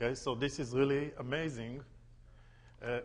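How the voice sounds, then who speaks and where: Audible room echo surrounds a man with an Israeli accent speaking at a medium pitch and moderate pace in a monotone, flat intonation. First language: Hebrew. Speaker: tour guide. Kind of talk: lecture.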